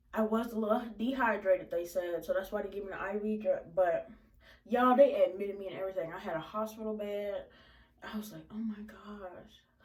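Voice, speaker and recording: Room echo is audible as a woman talks at a fairly quick pace, her loudness swinging widely. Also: medium pitch for a woman. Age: young. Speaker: vlogger. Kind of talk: storytime vlog. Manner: animated.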